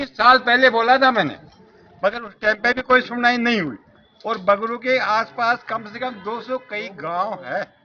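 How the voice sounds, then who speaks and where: The man's pitch sits extremely high, with fairly even intonation. His loudness swings widely. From Bagru, Rajasthan. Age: 80s+. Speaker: local resident. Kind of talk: street interview.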